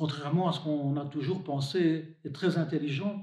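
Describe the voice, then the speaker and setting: At a fairly slow pace, a man talks in a normal speaking voice. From Belgium, Hainaut. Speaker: deacon and hospital chaplain. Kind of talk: religious reflection to camera.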